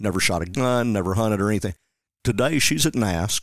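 Fairly quick and fairly low, a man with a Tennessee accent talks with ordinary pitch variation in a very clean recording with a silent background and a dry, close sound with no echo. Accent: US Southern (Tennessee). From West Tennessee (Jackson). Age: 50s. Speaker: conservation outreach coordinator. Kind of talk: casual interview.

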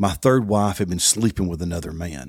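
A man speaks with a Tennessee accent and ordinary pitch variation. The recording is very clean, with a silent background. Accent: Southern US (Tennessee). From US South, Southeast Tennessee. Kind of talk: personal testimony and devotional talk.

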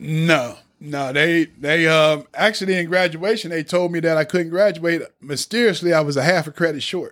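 A man with a high-pitched voice speaks at a moderate pace, barely pausing, with ordinary pitch variation. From Lebanon, Ohio. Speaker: ex-offender, redemption speaker. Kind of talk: personal testimony. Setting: studio.

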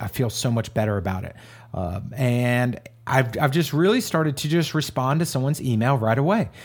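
With a normal speaking voice at a medium pitch, a man talks at a fairly quick pace with lively intonation in a very clean recording with a silent background. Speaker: podcast co-host. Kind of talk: casual conversational podcast chat.

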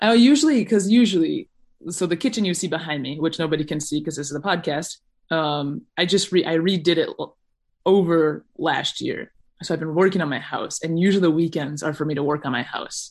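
Against a quiet background, a woman with a normal speaking voice talks at a fairly quick pace and fairly low pitch with ordinary pitch variation. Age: 20s. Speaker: long-distance hiker. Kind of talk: casual chat.

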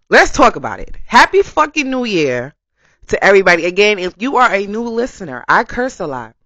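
Fairly quick and fairly high, a woman's voice moves through very wide pitch swings and big swings in loudness. Vocal fry runs through her speech. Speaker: podcast host. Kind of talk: casual monologue. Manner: animated.

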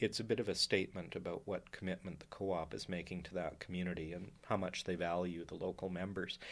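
In a western Canadian accent, a man talks in a very deep, low voice with monotone, flat intonation on a very clean recording with a silent background. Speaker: professor and historian. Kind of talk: interview. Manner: measured, with fillers.

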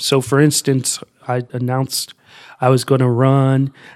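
Talking at a fairly slow pace, a man with an American accent uses an ordinary speaking voice at a medium pitch. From US Midwest, Columbus, Ohio. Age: 20s. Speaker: youth outreach coordinator, former political candidate. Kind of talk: podcast interview.

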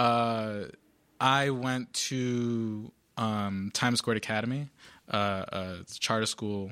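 At a very slow pace, a man speaks at a medium pitch with a bright, sharp tone and fairly even intonation, in a very clean recording with a silent background. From Providence, Rhode Island. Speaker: school board member and nonprofit founder. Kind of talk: interview. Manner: halting, many fillers and repetitions.

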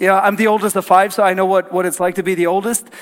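Over noticeable background noise, a man with a Norwegian accent speaks at a high pitch. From Norway. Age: 30s. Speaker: pastor. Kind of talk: sermon. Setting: church.

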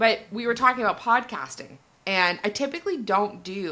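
A woman talks with a Canadian accent in a bright, sharp tone. Her pitch swings very widely. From Canada. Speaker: podcast host. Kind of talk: casual interview chat.

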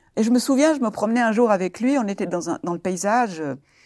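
A woman speaks at a fairly high pitch with vocal fry and lively intonation. The recording is very clean, with a silent background and a dry, close sound with no echo. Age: 70s. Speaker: retiree and abuse survivor. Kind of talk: testimony. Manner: halting.

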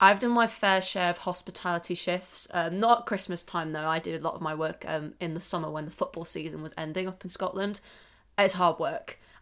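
In a very clean recording with a silent background, a woman with a British accent talks at a fairly quick pace, her fairly low pitch held in fairly even intonation. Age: 20s. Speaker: podcast host, graduate student. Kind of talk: casual chat.

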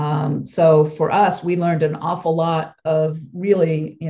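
With an American accent, a woman speaks in a very deep, low voice with a dark, mellow tone, somewhat breathy and in a flat monotone. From Los Angeles, US West Coast. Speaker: food travel blogger. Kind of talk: casual interview.

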